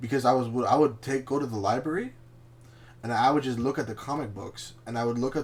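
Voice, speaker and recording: This man's voice is somewhat breathy and medium in pitch. He speaks at a fairly quick pace. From Canada, Chilean family. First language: Spanish. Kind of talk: casual chat.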